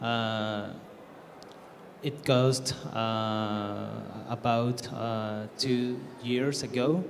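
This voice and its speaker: Speaking very slowly with long, frequent pauses, a man with a Spanish accent keeps his medium-pitched voice fairly even in intonation, with audible room echo around him. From Mexico. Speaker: game developer. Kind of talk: conference panel introduction. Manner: halting, many fillers.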